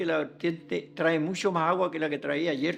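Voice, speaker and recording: A fairly high-pitched male voice over music in the background. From southern Chile, Los Ríos region (Lanco, Neltume area). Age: 70s. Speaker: elderly local resident sharing memories. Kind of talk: oral history testimony. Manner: halting, with repetitions.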